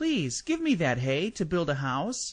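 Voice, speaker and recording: Using a put-on character voice pitched high, a man talks at a fairly slow pace over a quiet background. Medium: read story. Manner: bright, cheeky.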